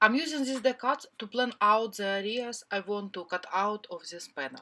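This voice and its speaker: With a non-native accent, a woman speaks at a moderate pace in a fairly high voice, bright and sharp in tone with lively intonation. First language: not English. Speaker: cardmaking crafter. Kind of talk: craft tutorial voiceover.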